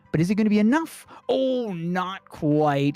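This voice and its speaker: The speech moves at a very slow pace, with music in the background. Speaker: gaming streamer and tournament commentator. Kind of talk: live commentary. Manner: animated.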